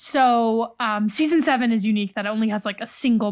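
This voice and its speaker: Very clean recording with a silent background, featuring a woman with an American accent, fairly high pitch, ordinary pitch variation and a very fast pace. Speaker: podcast host. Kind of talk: casual chat recapping a reality TV show.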